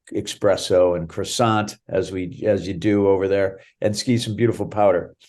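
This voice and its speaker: Against a quiet background, a man with an American accent talks at a fairly slow pace in a very deep, low pitch, his tone dark and mellow and his intonation fairly even. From Boston area, Massachusetts. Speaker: ski area general manager, former extreme skier. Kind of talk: interview.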